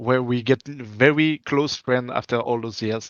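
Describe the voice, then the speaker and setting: A man with a French accent speaks with ordinary pitch variation, in a dry, close sound with no echo against a quiet background. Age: 30s. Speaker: gaming community organizer. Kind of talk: interview. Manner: halting, searching for words.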